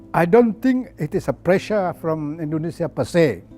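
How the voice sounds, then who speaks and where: A man speaks at a very slow pace in a high pitch. His intonation is lively, and music plays in the background. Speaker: former politician. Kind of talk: interview answer, reminiscing about history.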